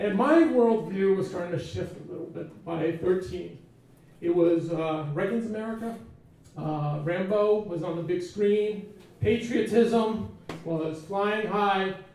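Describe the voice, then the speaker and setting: Speaking at a fairly slow pace, a man with a high pitch and ordinary pitch variation is heard amid noticeable background noise and audible room echo. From US, Portuguese immigrant household. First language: Portuguese. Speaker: event speaker. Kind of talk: personal storytelling talk. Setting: stage with audience.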